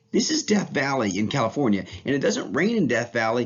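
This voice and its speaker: A man talks at a fairly high pitch, his voice making very wide pitch swings. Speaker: teacher. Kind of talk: lecture. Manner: fast; casual, enthusiastic.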